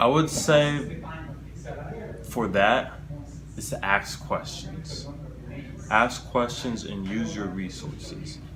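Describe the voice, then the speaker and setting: A man with an American accent talks very slowly in a fairly low voice, with lively intonation, big swings in loudness and long, frequent pauses. Audible room echo and noticeable background noise are present. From United States. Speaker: public speaking club president. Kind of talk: interview.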